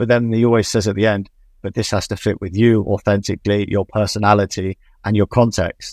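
With an English accent, a man talks at a fairly low pitch and with fairly even intonation. The sound is dry with no echo, over a quiet background. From England. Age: 20s. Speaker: football coach. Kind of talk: interview. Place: home room. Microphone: video call.

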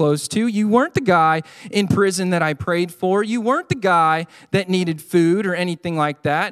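This is an unforced reading voice. It has ordinary pitch variation.

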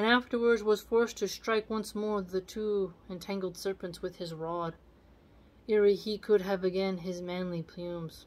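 A woman talks at a moderate pace with fairly even intonation. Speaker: video channel host reading poetry aloud. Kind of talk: literary poem reading aloud with casual commentary. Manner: measured, formal reading of archaic verse. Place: home room. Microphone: phone near.

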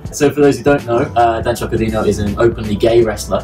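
A man at a fairly quick pace, ordinary pitch variation, faint music in the background. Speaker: show co-host. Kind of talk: commentary. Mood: enthusiastic, amused. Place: bar. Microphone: camera far.

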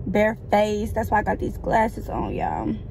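A woman speaks at a moderate pace. The sound is dry with no echo, and there is light background noise. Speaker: vlogger. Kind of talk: casual vlog chat. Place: car.

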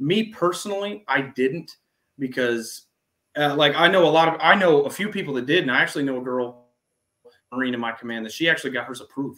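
At a very fast pace, a man talks with a fairly high pitch, lively intonation and a bright, sharp tone. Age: 20s. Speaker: Navy veteran; interview guest. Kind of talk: interview. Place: home room.

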